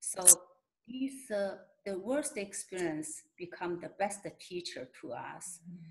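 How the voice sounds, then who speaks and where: A woman with a Mongolian accent speaks at a very slow pace, somewhat breathy and at medium pitch. Her pitch swings very widely. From Inner Mongolia, China. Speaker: shaman and healer. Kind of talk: interview answer.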